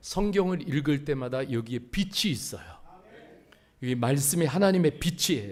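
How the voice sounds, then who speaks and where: There is lively intonation in this man's speech. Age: 60s. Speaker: pastor. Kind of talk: sermon. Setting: church.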